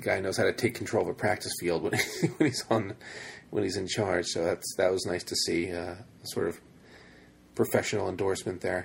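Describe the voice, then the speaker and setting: Moderately paced male speech, very clean recording, silent background. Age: 30s. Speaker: college football podcast host. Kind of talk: casual chat.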